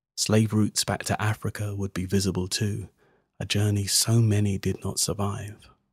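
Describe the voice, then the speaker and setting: A man's fairly low, somewhat breathy voice in a monotone, flat intonation, dry and close with no echo, over a silent background in a very clean recording. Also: moderate pace. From England, London. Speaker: spoken word poet. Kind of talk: spoken word performance. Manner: rhythmic.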